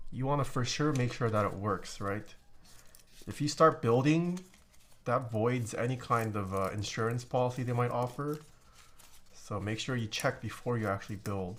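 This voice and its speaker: Long, frequent pauses in a relaxed tone at a moderate pace, with a non-native accent. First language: not English. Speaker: keyboard streamer. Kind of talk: live stream chat while building keyboard. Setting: live stream. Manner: casual, relaxed.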